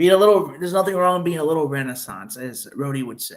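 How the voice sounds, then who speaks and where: A man with a Chicago accent speaks at a high pitch with ordinary pitch variation. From northern Illinois (Chicago suburbs, Wheaton). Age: 30s. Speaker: YouTuber. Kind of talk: casual live-stream chat. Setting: live stream. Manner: halting, many fillers.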